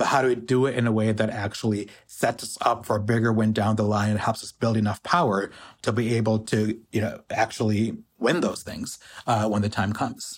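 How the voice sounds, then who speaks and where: A man with a normal speaking voice of medium pitch talks at a fairly quick pace with fairly even intonation, recorded very cleanly against a silent background. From US, Pakistani immigrant family. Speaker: economic justice organizer. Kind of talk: interview.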